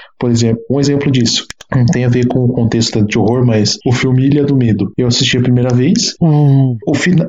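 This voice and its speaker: A somewhat breathy man at medium pitch talks at a moderate pace with hardly any pauses, ordinary pitch variation and very even loudness. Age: 20s. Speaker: engineering student and independent writer. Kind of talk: casual chat.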